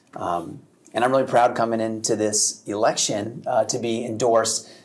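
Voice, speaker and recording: A man's medium-pitched voice with an American accent at a fairly quick pace, over noticeable background noise. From Connecticut (Madison area). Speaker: state representative. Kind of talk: political debate.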